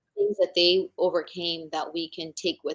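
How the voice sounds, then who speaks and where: A woman with a slight non-native accent speaks at a moderate pace and medium pitch. Her intonation is fairly even, and the sound is dry and close, with no echo. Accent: slight non-native, mispronounces some words. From immigrant, came to new country as child. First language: not English. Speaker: entrepreneur and author. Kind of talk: interview conversation. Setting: podcast recording.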